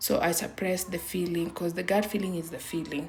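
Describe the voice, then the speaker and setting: With audible room echo around her, a woman speaks at a fairly low pitch with vocal fry. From Kenya. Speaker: vlogger. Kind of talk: personal testimony. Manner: halting.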